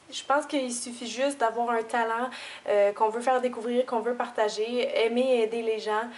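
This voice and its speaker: A woman with a Quebec accent speaks at a high pitch and a moderate pace. Her intonation is monotone and flat, with noticeable background noise. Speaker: beauty YouTuber. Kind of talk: tutorial.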